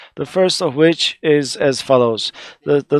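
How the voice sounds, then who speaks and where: With an Arabic accent, a man speaks at a moderate pace and a fairly high pitch, using ordinary pitch variation. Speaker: conference panelist, researcher. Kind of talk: conference presentation. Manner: halting, many fillers.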